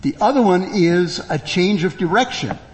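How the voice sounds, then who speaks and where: Against noticeable background noise, a high-pitched man speaks at a very slow pace. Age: 60s. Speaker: preacher. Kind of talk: sermon. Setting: church.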